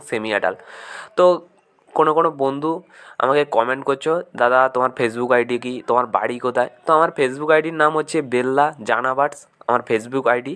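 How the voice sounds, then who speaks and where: This man's voice has a bright, sharp tone. His pitch varies in an ordinary way. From West Bengal, India (Paschim Medinipur). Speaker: bird breeder and seller, video blogger. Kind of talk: informal sales video walkthrough. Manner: casual, conversational.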